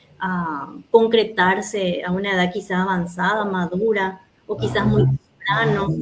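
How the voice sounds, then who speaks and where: There is noticeable background noise as a woman with a Paraguayan accent speaks with ordinary pitch variation. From Paraguay, Asunción. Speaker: oral storyteller. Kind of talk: interview closing message.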